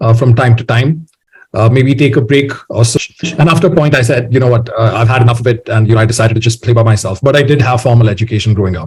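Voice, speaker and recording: Dark and mellow in tone, a man speaks in a somewhat breathy voice. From India, Bangalore. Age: 20s. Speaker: musician. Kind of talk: interview. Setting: podcast.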